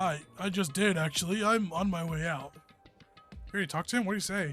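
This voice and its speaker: A put-on character voice, raspy and strained, moves at a fairly quick pace with ordinary pitch variation. Faint music plays in the background. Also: man, high pitch for a man. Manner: constantly straining.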